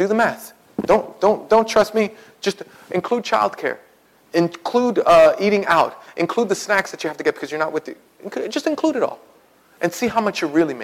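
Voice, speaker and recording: Speaking at a moderate pace, a man with a high voice sounds animated, with lively intonation. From Puerto Rican community, US. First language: Spanish. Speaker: pastor. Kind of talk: sermon. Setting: church.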